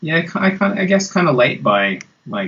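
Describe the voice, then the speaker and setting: Fairly quick speech comes from a man. He speaks with an Australian accent. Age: 40s. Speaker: guitarist. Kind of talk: interview.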